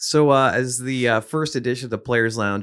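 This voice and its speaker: On a very clean recording with a silent background, a man has an ordinary speaking voice, medium in pitch with ordinary pitch variation. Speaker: podcast host. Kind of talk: casual interview chat. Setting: studio.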